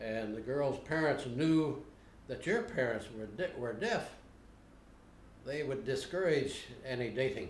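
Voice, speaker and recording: With an American accent and a somewhat breathy medium-pitched voice, a man speaks with lively intonation and long, frequent pauses in a room with audible echo. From Ohio. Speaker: interviewee. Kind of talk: interview. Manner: halting.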